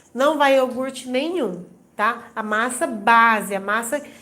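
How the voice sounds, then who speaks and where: With a high pitch and a bright, sharp tone, a woman speaks at a fairly slow pace with ordinary pitch variation, and room echo is audible. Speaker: baking instructor. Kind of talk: live stream tutorial.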